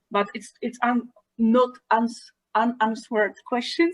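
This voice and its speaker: A woman with a non-native accent speaks at a fairly high pitch, with a dry, close sound and no echo. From Poland. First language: not English. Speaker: early music teacher. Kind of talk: panel discussion. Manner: halting, repeats words.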